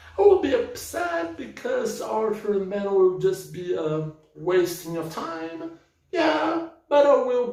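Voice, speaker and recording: A man with a non-native accent talks at a fairly slow pace amid audible room echo. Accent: non-native English speaker. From Brazil. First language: Portuguese. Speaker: book vlogger. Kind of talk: casual book review rant. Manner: halting, repeating words.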